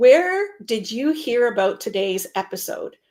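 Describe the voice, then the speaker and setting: This is a woman speaking. Her pitch is high. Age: 60s. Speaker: meeting professional and show host. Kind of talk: live online show, casual discussion. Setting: home office, video stream.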